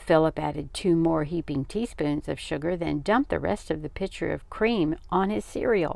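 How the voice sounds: A woman at low pitch with a dark, mellow tone and vocal fry, ordinary pitch variation, and a moderate pace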